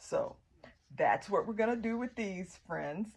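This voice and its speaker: Speaking in an American accent, a woman varies her pitch in an ordinary way. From US South. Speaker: gardening vlogger. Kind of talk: tutorial. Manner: casual, with frequent fillers.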